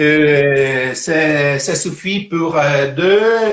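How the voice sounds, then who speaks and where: In an Italian accent, a man talks with a fairly high pitch and ordinary pitch variation. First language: Italian (speaking French). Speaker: cooking teacher. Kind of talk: cooking tutorial. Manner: halting.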